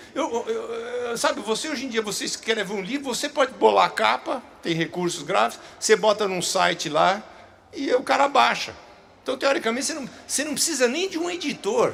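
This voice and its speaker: A man speaks at a fairly quick pace with an extremely high pitch for a man. His pitch swings very widely, and noticeable background noise sits behind him. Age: 60s. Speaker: children's book author. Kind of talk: public talk Q&A. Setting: stage with audience. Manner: halting, repeats words.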